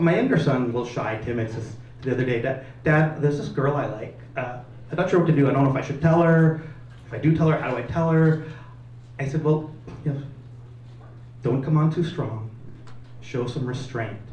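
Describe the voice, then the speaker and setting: Over noticeable background noise and audible room echo, a man with a fairly high pitch speaks at a fairly quick pace with ordinary pitch variation and long, frequent pauses. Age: 50s. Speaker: comedian. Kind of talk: stand-up. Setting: stage with audience.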